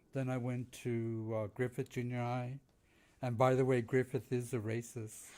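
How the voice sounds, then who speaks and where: A man with an American accent speaks at a moderate pace in a dark, mellow tone. The recording is very clean, with a silent background. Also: medium pitch for a man. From East Los Angeles, California. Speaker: Chicano artist and activist. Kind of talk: casual podcast interview.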